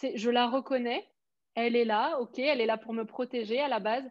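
Fairly slow and with fairly even intonation, a woman speaks in a high voice. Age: 20s. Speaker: business coach. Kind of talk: casual chat.

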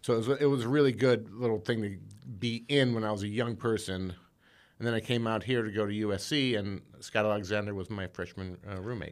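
In a very clean recording with a silent background, a plain, everyday voice with an American accent speaks at a fairly quick pace with fairly even intonation. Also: man, fairly low pitch for a man. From Indiana, US Midwest. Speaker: screenwriter. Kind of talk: casual chat.

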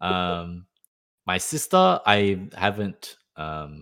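A man talks in an ordinary speaking voice, fairly low in pitch, with lively intonation. The recording is very clean, with a silent background. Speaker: podcast co-host. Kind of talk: casual chat.

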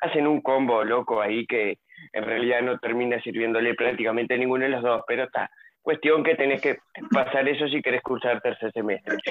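A man talks at a fairly quick pace in a normal speaking voice, pitched medium for a man. His intonation stays fairly even. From Nueva Palmira, Colonia, Uruguay. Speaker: university student. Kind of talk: casual chat.

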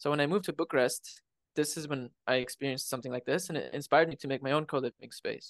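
A man with an American accent speaks at a very fast pace, his pitch fairly high and his intonation fairly even. The sound is dry and close with no echo, over a quiet background. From Arizona, USA. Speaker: coliving space owner and English tutor. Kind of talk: casual interview chat.

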